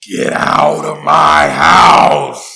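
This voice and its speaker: A man's raspy, put-on character voice. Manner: angry, shouting.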